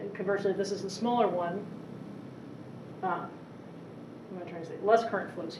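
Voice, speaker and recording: Through audible room echo and noticeable background noise, a woman speaks at a medium pitch with fairly even intonation. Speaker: engineering professor. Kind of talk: lecture. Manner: fast.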